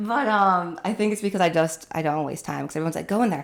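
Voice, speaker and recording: A woman talks at a very fast pace with an American accent. Her medium-pitched voice has lively intonation. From Utah, US (Salt Lake City). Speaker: actress and producer. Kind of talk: casual chat.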